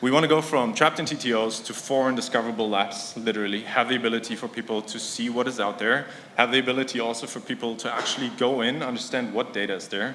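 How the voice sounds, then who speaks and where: Someone talks at a very fast pace with audible room echo. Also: man, medium pitch for a man, fairly even intonation. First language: not English. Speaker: conference speaker, startup product executive. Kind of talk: conference talk. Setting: stage with audience. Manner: casual, filler-heavy.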